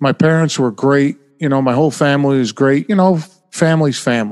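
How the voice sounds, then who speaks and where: In a plain, everyday voice with an American accent, a man with a fairly high pitch speaks at a moderate pace, the sound dry and close with no echo. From upstate New York. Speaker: former sales manager and poker player. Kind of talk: casual chat.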